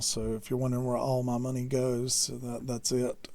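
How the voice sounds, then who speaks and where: Speaking with a Southern US accent, a man has a medium pitch and a dark, mellow tone, with audible echo from the room. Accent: slow southern drawl. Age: 40s. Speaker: electronics hobbyist teacher. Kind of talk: lecture. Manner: halting, many fillers.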